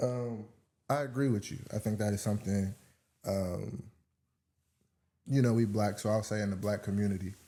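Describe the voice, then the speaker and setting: A man with a fairly low pitch speaks in a relaxed, dark, mellow tone with fairly even intonation. Long, frequent pauses fill the very clean recording with its silent background. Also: moderate pace. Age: 20s. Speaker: podcast guest. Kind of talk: casual interview chat. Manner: relaxed, many fillers.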